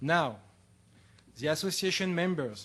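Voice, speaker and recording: Against a quiet background, a man speaks with a French accent. His voice sits fairly high. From France. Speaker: political science lecturer. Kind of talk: conference talk. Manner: formal.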